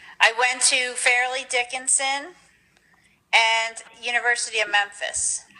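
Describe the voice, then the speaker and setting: In an American accent, a woman speaks at a high pitch and fairly slow pace, her intonation monotone and flat, with long, frequent pauses. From Long Island, New York. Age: 40s. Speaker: family member. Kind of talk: interview.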